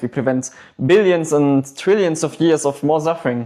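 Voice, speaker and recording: A man with a non-native accent and a fairly high pitch, on a very clean recording with a silent background. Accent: noticeable non-native. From Germany. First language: German. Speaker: livestream debate host and activist. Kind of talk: livestream debate. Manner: animated, argumentative.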